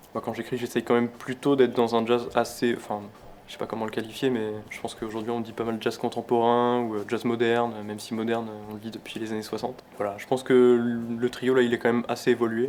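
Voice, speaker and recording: A man's very fast, monotone delivery with flat intonation at a medium pitch, with big swings in loudness and noticeable background noise. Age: 20s. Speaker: jazz pianist. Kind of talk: interview. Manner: hesitant, many fillers.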